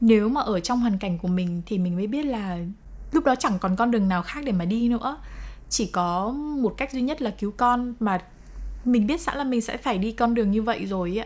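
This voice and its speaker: Somewhat breathy, a woman talks at a moderate pace with a fairly high pitch and ordinary pitch variation. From Vietnam. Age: 20s. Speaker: TV editor and mother of liver transplant patient. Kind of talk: interview testimony.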